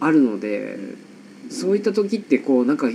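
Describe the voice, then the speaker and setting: Very wide pitch swings from a man, with noticeable background noise behind him. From Nagasaki, Japan. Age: 30s. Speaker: photographer. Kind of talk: casual interview chat. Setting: home studio in an old house.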